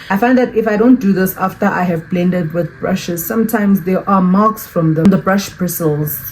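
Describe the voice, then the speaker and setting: The voice runs on with hardly any pauses and ordinary pitch variation. Noticeable background noise sits behind it. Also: woman, medium pitch for a woman. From South Africa. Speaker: beauty YouTuber. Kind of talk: makeup tutorial. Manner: fast.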